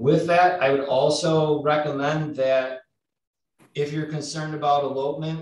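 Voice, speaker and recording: The speaker is a man. His intonation stays monotone and flat. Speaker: law enforcement officer. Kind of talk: panel discussion.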